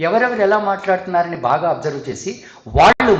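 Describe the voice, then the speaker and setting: A man's lively intonation comes through audible room echo and noticeable background noise. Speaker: singer and psychology speaker. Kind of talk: conference talk.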